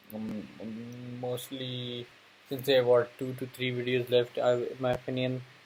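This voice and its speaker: Monotone and flat, a man's medium-pitched voice is somewhat breathy. His loudness swings widely. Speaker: gaming YouTuber. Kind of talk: let's play commentary. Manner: halting, many fillers; low energy.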